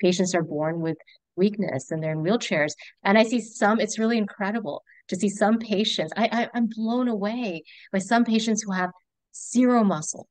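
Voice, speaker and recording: A woman with an American accent and a normal speaking voice talks at a moderate pace and medium pitch against a quiet background. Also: ordinary pitch variation. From US South, Augusta, Georgia. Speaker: neurologist. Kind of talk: casual chat.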